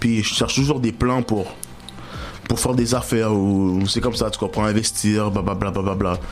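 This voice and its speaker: A man with a Montreal accent speaks at a fairly low pitch with fairly even intonation. Audible room echo and music in the background accompany him. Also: moderate pace. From Montreal, Quebec. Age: 20s. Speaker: rapper. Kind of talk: interview. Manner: casual, slangy.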